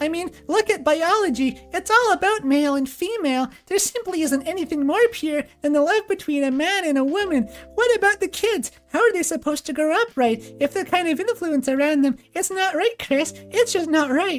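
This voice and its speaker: This is a put-on character voice, squeaky and extremely high in pitch. Music plays in the background. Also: moderate pace. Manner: exaggerated, silly.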